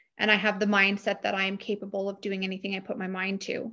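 In a Canadian accent, a woman with a medium pitch has a bright, sharp tone against a quiet background. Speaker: realtor and real estate team leader. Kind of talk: interview.

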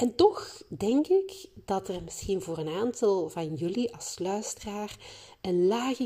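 With lively intonation, a woman speaks at a medium pitch in a dark, mellow tone. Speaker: creativity facilitator and podcast host. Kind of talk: solo podcast monologue. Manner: animated.

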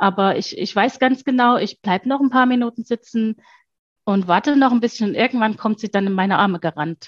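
This woman's pitch is fairly high. Her voice is somewhat breathy. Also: ordinary pitch variation, fairly quick pace. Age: 40s. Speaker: mother, former mentoring client. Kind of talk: interview testimony.

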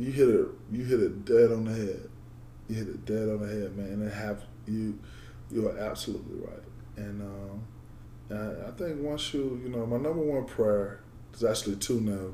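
Somewhat breathy and dark, mellow in tone, the speaker uses an American accent at a moderate pace, with ordinary pitch variation, long, frequent pauses and audible room echo. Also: man, fairly low pitch for a man. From Georgia, US. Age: 20s. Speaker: former football player. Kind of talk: interview conversation. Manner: halting.

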